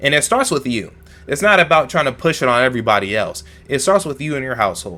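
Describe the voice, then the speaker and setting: Speaking very fast with an American accent, a man uses a fairly high pitch. His tone is bright and sharp, and his pitch swings very widely. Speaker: YouTube reaction commentator. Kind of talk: casual commentary monologue. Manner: articulate, polite.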